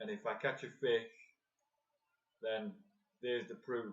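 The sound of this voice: Soft-spoken and slow, a man talks at a medium pitch in a fairly bright tone with fairly even intonation.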